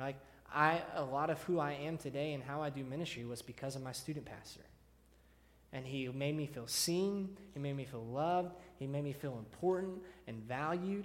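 At a moderate pace, an unremarkable speaking voice talks with ordinary pitch variation. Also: man, fairly high pitch for a man. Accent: American. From Texas (Deer Park, near Houston). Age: 30s. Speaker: student pastor. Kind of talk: sermon. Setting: church.

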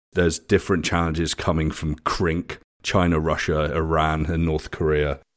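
Over a silent background in a very clean recording, a man with a British accent speaks at a moderate pace in a very deep, low voice. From England. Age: 50s. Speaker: futurist and author. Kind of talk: interview conversation.

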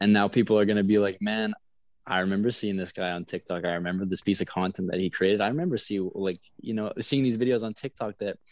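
A normal speaking voice, a man with a Canadian accent at a fairly low pitch, ordinary pitch variation, a fairly quick pace and a quiet background. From Canada, Manitoba (south of Winnipeg). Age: 20s. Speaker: social media content creator. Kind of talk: casual interview chat. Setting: video call. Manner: relaxed, laid-back.

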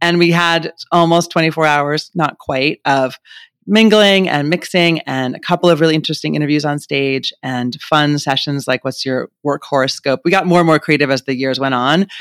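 With a normal speaking voice, a man talks at a fairly high pitch and moderate pace with ordinary pitch variation. The recording is very clean and dry, with a close sound, no echo and a silent background. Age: 50s. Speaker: former magazine editor turned women's health founder. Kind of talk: interview.

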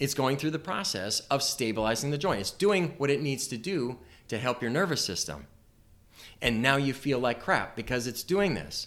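A man with a plain, everyday voice and medium pitch talks at a moderate pace with lively intonation in a very clean recording with a silent background. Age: 50s. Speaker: chiropractor and practice coach. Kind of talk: informal talk to interns, recorded for podcast. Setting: private office around a table.

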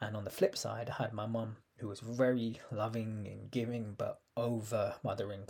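A somewhat breathy man with a London accent, in a flat, monotone delivery. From London, UK. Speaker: empowerment coach and podcast host. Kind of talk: personal storytelling monologue.

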